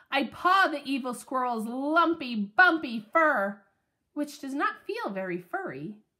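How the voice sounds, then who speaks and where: A female-sounding voice in a put-on character voice talks at a fairly slow pace with a high pitch. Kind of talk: children's book read-aloud. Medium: read story. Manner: lively, expressive.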